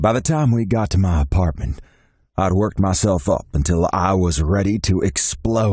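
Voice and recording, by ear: With ordinary pitch variation, a natural voice reads the passage aloud.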